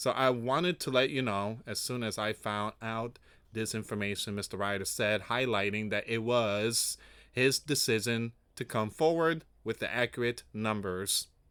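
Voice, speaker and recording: A man's medium-pitched voice with a strong non-native accent and ordinary pitch variation at a moderate pace, on a very clean recording with a silent background. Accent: heavy foreign. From raised outside the US, born in US. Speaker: news commentary youtuber. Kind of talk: news reading with commentary.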